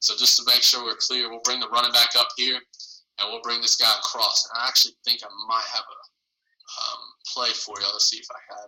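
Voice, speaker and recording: Loudness jumps around a lot as a man talks fairly quickly. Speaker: football coach. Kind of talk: online coaching clinic presentation. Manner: fast.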